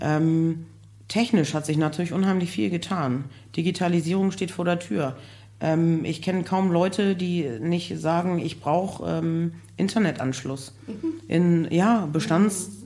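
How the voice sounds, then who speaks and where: A woman speaks at a very slow pace in a fairly low pitch with a dark, mellow tone. Long, frequent pauses break up her speech, and there is audible room echo. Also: ordinary pitch variation. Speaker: construction project manager for care homes. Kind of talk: casual interview. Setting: live recording with audience.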